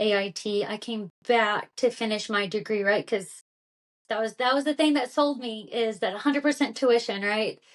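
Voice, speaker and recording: Speaking in a Kentucky accent, a woman uses a fairly high pitch with ordinary pitch variation. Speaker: former army intelligence officer. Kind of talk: interview. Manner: casual, many fillers.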